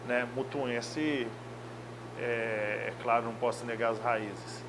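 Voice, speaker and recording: Monotone, flat intonation at a very slow pace, with audible room echo and noticeable background noise. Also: man, medium pitch for a man. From Brazil, Minas Gerais (Belo Horizonte). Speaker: football coach. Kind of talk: interview.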